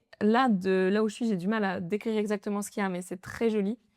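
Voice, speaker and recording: Very fast and fairly even in intonation, a woman's medium-pitched voice sounds dry and close with no echo in a very clean recording with a silent background. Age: 20s. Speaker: nail artist. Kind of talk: casual podcast interview.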